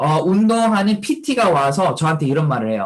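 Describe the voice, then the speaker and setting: Lively intonation marks this man's speech, which moves at a fairly slow pace. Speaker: network marketing distributor. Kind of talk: motivational testimony talk. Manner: animated, rhetorical questions.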